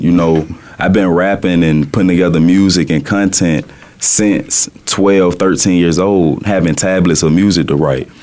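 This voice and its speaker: With a Southern US accent, a man speaks at a very deep, low pitch and fairly even intonation. Noticeable background noise runs underneath. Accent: Southern drawl. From US South, Birmingham, Alabama. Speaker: rapper. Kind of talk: radio interview.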